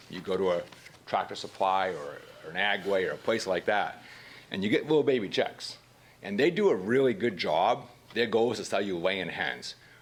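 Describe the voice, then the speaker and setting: A man with a strong Maine accent speaks at a moderate pace. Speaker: citizen speaking at public comment. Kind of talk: public comment at council meeting. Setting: city council meeting. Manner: halting, with repetitions.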